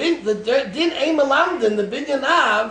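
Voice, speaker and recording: A man projects a raised voice at an extremely high pitch, with lively intonation and a very slow pace. Noticeable background noise and audible room echo surround him. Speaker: rabbi teaching a Talmud class. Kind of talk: lecture.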